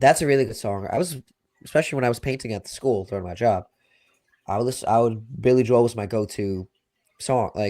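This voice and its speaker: Speaking very fast in a Long Island accent, a man has a medium pitch, ordinary pitch variation and a dark, mellow tone. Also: very clean recording, silent background. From Long Island, New York. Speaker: sports podcast co-host. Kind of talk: casual chat. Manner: halting, many fillers.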